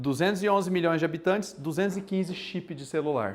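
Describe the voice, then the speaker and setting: A man with a Mato Grosso do Sul accent speaks at a high pitch and a fairly quick pace, with lively intonation and an animated tone. Room echo is audible. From Brazil, Mato Grosso do Sul. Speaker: university lecturer. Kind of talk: lecture. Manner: casual and animated.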